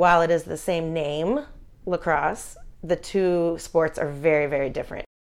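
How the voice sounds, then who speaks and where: A woman talks in a plain, everyday voice with an American accent. Her pitch is fairly low, her pace moderate and her intonation fairly even. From Philadelphia. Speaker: youth lacrosse program director. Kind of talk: interview.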